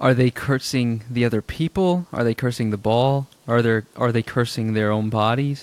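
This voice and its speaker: A man's unremarkable speaking voice at medium pitch, with ordinary pitch variation, very even loudness and a dry, close sound with no echo. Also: moderate pace, hardly any pauses. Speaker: podcast host. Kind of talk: casual chat.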